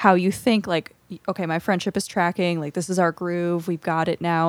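An ordinary speaking voice at a moderate pace, with a dry, close sound with no echo and a very clean recording, silent background. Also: woman. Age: 30s. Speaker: podcast co-host. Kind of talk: casual chat.

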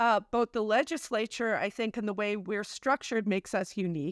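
A woman with an ordinary speaking voice, fairly high in pitch, with ordinary pitch variation, on a very clean recording with a silent background. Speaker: activist. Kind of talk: casual interview chat.

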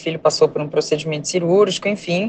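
A woman speaks at medium pitch. Noticeable background noise can be heard. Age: 30s. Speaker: surgeon, mother. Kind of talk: testimony.

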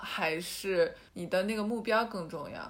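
The speaker is a woman. Her voice has a medium pitch. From Yantai, Shandong, China. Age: young. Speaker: art student podcast co-host. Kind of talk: casual chat.

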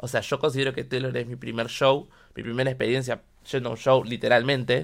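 A Rioplatense accent on a very clean recording with a silent background. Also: man. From Argentina, Buenos Aires (Quilmes). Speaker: podcast host. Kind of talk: casual monologue. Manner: animated.

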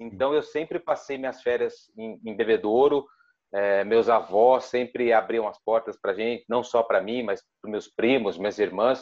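A man at a medium pitch, moderate pace and fairly even intonation. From Ribeirão Preto, São Paulo state, Brazil. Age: 30s. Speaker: sports journalist. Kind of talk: interview. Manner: halting.

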